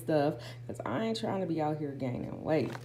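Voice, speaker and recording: A woman talks at a very fast pace. Noticeable background noise and audible room echo surround her voice. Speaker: lifestyle vlogger. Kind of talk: haul vlog. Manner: casual, filler-heavy.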